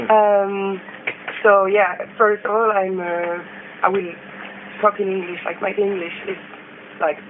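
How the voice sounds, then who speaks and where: A French accent at a fairly slow pace, with monotone, flat intonation, long, frequent pauses and noticeable background noise. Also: woman, medium pitch for a woman. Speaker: interviewer, musician. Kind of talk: interview. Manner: halting, many fillers.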